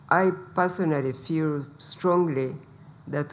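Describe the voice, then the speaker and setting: Soft-spoken and fairly even in intonation, a woman speaks with a very deep, low pitch. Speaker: politician, first lady. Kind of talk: press briefing address.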